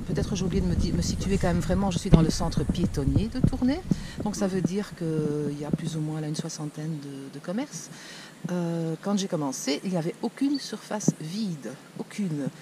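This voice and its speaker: A woman with a fairly low voice speaks at a moderate pace over noticeable background noise. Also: lively intonation. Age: 60s. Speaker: shopkeeper. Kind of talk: interview.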